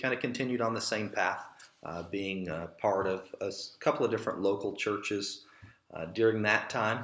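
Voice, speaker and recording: Audible room echo surrounds a man whose voice sits at a fairly low pitch. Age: 30s. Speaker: church elder and pastor. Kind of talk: casual interview conversation.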